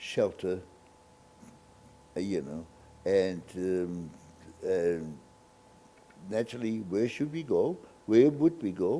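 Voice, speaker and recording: A man speaks at a very slow pace with lively intonation. His tone is dark and mellow. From Germany, Hesse village. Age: 90s. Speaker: Holocaust survivor. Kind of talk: interview testimony. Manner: halting, many fillers.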